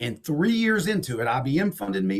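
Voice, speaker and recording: A man talks at a fairly quick pace in an animated tone. His voice is somewhat breathy. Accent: slight Southern. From Texas and Alabama. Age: 50s. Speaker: entrepreneur and investor, author. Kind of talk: podcast interview.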